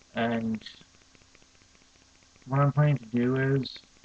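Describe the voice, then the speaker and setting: The delivery is monotone and flat, with noticeable background noise. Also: man. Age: young. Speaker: language learner. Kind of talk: casual talk to camera.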